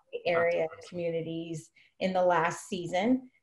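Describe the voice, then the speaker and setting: A woman speaks in a somewhat breathy voice with an American accent. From Oakland, California. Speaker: HR executive. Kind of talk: interview.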